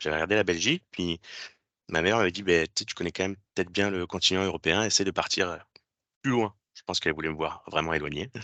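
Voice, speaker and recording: A man's very deep, low voice with a bright, sharp tone and ordinary pitch variation, dry and close with no echo, against a quiet background. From France. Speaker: physiotherapy technician, former student. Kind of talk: presentation to students. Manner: hesitant, many fillers.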